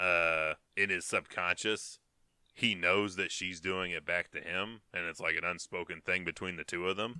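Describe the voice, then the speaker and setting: A man's very deep, low voice with a bright, sharp tone at a moderate pace, on a very clean recording with a silent background. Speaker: podcast co-host. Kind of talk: casual banter about a movie. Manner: casual, profane, joking.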